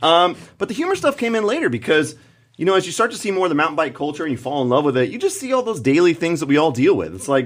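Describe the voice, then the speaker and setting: Loud and animated, a man talks at a very fast pace with a fairly high pitch and very wide pitch swings. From California. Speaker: comedic mountain bike video creator. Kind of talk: casual chat.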